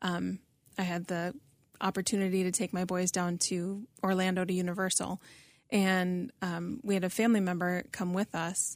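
A woman speaks in a normal speaking voice. The recording is very clean, with a silent background. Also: medium pitch for a woman, fairly even intonation, moderate pace. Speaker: podcast host. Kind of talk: casual interview chat.

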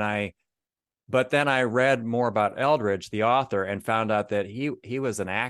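Against a quiet background, a man with a Midwestern American accent talks at a moderate pace with ordinary pitch variation. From Northeast Ohio. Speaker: author of men's devotionals. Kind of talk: interview.

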